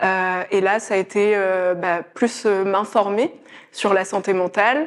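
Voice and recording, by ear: Intonation is fairly even throughout. The delivery keeps a fairly slow pace. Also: woman, medium pitch for a woman.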